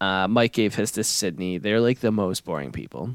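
Recorded very cleanly against a silent background, a man with a very deep, low pitch and vocal fry speaks in a dry, close sound with no echo. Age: 30s. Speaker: podcast co-host. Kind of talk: casual chat.

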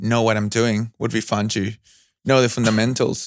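Fairly even in intonation, a man speaks at medium pitch with a Spanish accent. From Argentina. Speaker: new media artist and audio engineer. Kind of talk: interview. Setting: call.

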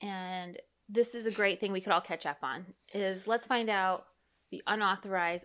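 A woman speaks in a normal speaking voice at a medium pitch with ordinary pitch variation. Her pace is moderate, and the background is quiet. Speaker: podcast host and therapist. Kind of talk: casual chat.

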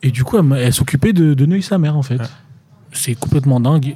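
A man's very fast speech at a medium pitch, with ordinary pitch variation, a dark, mellow tone and a somewhat breathy quality. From France, Tours. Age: 20s. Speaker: actor. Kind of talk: casual interview chat.

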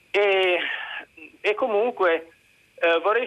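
A man is speaking. His pace is fairly slow. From Reggio Emilia. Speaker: caller. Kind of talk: call-in opinion. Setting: phone call.

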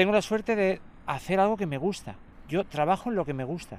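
Male speech pitched high, moderately paced, with ordinary pitch variation. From Andalusia. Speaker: blind football player and secondary school teacher. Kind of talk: interview conversation. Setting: outdoors in a park. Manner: calm.

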